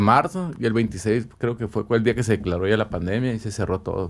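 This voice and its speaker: This is a normal speaking voice from a man at a medium pitch and a fairly quick pace. The recording is very clean with a silent background. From Ciudad Obregón, Sonora, Mexico. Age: 30s. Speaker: tattoo artist. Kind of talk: casual chat.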